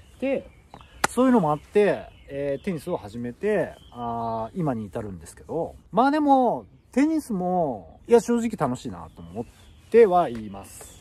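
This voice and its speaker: A man's fairly high, dark, mellow voice at a fairly slow pace, with very wide pitch swings and big swings in loudness. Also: dry sound with no echo. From Japan. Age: 40s. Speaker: YouTuber; vlogger. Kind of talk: casual vlog monologue. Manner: casual, filler-heavy. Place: forest. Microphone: phone near.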